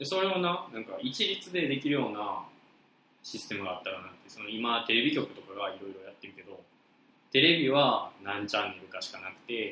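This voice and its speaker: A man talks at a fairly quick pace with a fairly high pitch. His pitch swings very widely, and his loudness shifts a lot. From Osaka. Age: 20s. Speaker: podcast co-host, university student. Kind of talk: casual chat.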